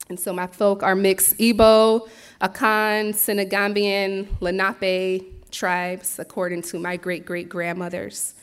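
Fairly slow yet with hardly any pauses, a woman speaks at a medium pitch in a monotone, flat intonation. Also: very clean recording, silent background. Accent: American. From Philadelphia, US. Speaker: farmer and herbalist. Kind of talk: presentation talk.

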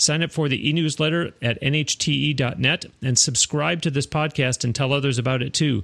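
A man with a fairly high pitch and an unremarkable speaking voice talks at a moderate pace with ordinary pitch variation, recorded very cleanly against a silent background. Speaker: podcast host. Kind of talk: interview. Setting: studio.

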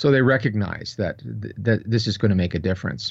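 A man with a plain, everyday voice talks at a fairly quick pace. His pitch is fairly low, with ordinary variation. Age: 60s. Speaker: professor and researcher. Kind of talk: interview.

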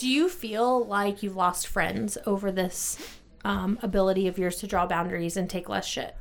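Moderate pacing, medium pitch and ordinary pitch variation in a woman's normal speaking voice. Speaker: podcast host. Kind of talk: casual chat. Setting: studio.

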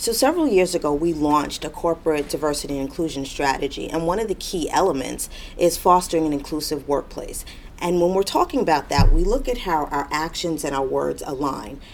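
Noticeable background noise fills the recording. Over it, a woman speaks at a fairly quick pace. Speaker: corporate diversity director. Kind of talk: interview answers.

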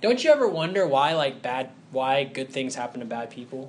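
Amid audible room echo, a man with a fairly high voice and a Southern US accent talks at a moderate pace. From US South, Huntsville, Alabama. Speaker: preacher. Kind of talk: sermon.

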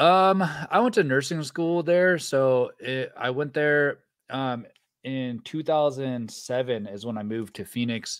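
An ordinary speaking voice, this man with an American accent talks at a fairly slow pace in a medium pitch with lively intonation. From Northern California, rural. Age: 30s. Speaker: mountain bike YouTuber. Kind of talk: casual chat. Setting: video call.

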